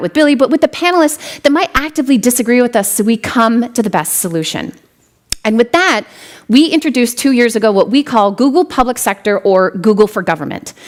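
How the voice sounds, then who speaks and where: A woman speaks with a high pitch and very wide pitch swings. Her pace is very fast. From US Midwest, western South Dakota. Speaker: tech executive, keynote speaker. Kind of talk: keynote speech.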